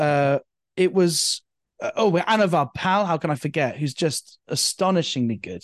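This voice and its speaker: Against a quiet background, a man with a high voice sounds energetic, using ordinary pitch variation. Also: moderate pace, dry, close sound with no echo. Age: 30s. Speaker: stand-up comedian. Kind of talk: casual chat.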